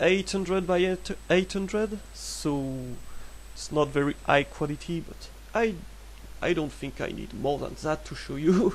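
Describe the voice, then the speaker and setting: A man with a French accent talks at a fairly slow pace. He makes long, frequent pauses, and his loudness swings widely. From France. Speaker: 3D artist. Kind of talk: software tutorial narration. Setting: low-quality microphone. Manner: hesitant, casual.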